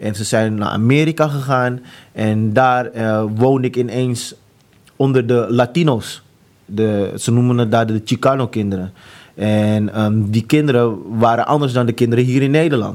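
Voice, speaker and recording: A man at a medium pitch and moderate pace, with fairly even intonation. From Amsterdam, Netherlands. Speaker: author sharing conversion story. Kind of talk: testimony. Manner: halting, many fillers.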